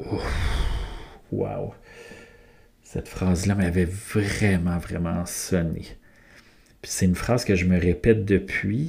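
A man talks at a very slow pace with long, frequent pauses. His pitch is very deep and low, with ordinary pitch variation. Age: 40s. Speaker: podcast host. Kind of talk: solo podcast monologue. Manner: hesitant, many fillers.

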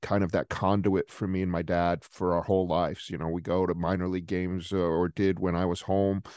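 In a Rhode Island accent, a man with a very deep, low pitch talks at a moderate pace with fairly even intonation, the sound dry and close with no echo against a quiet background. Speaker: sports journalist. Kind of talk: casual interview.

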